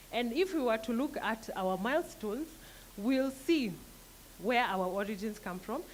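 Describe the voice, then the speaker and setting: A woman talks at a moderate pace with lively intonation and a fairly high pitch. Audible room echo surrounds her voice. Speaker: company trainer. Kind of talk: business presentation. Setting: seminar hall with audience. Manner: soft-spoken.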